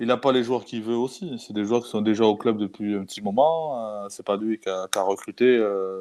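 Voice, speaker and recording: A man's fairly low, dark and mellow voice at a moderate pace, with ordinary pitch variation, big swings in loudness, hardly any pauses and a quiet background. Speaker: football podcast host. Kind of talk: casual panel discussion.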